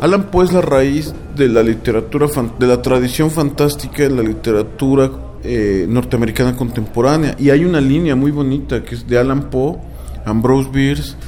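At a moderate pace and with ordinary pitch variation, the talking runs over noticeable background noise. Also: man. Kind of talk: casual literary talk, explaining and musing aloud. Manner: halting, hesitant, repeating words while thinking.

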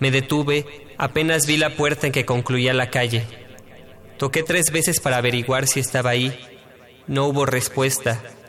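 A man at medium pitch and moderate pace, monotone and flat in intonation, with very even loudness. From Mexico, Mexico City. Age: 20s. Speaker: poet. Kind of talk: poetry reading.

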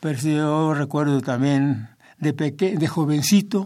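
Dark and mellow in tone, a man's voice moves at a very slow pace. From southern State of Mexico, Mexico. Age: 80s+. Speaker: organist, church singer and composer. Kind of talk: interview. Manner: halting, with repetitions.

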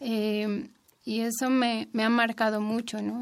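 A woman talks at a fairly slow pace. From Mexico City. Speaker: apprentice midwife. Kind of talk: radio interview.

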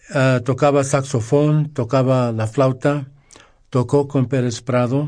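This man has a medium-pitched voice and a monotone, flat delivery. He speaks very slowly. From Los Angeles, California, Mexican-American. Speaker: music radio guest, Latin music collector. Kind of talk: casual radio interview.

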